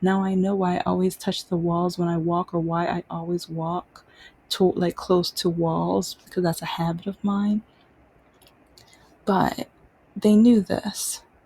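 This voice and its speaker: Pausing long and often, a woman speaks fairly slowly in a fairly low, somewhat breathy voice with a dark, mellow tone and monotone, flat intonation. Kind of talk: casual monologue vlog. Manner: halting.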